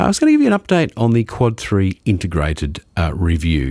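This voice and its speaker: A man speaks in an Australian accent. His pace is moderate. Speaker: podcast host. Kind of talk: podcast intro and casual review talk.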